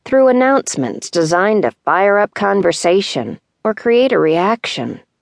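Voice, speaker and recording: A woman speaks in a dramatic tone at a fairly slow pace, the sound dry and close with no echo against a quiet background. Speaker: audiobook narrator. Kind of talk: dramatic memoir narration, first person, reading aloud. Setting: studio. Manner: measured, intimate, wistful storytelling with hushed tenderness; deliberate pacing with dramatic pauses.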